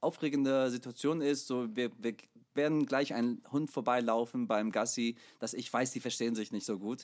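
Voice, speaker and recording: On a very clean recording with a silent background, a man with a medium pitch speaks at a moderate pace with ordinary pitch variation. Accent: English. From USA. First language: English (speaking German). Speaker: podcast co-host, musician. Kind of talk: casual chat. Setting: recording studio.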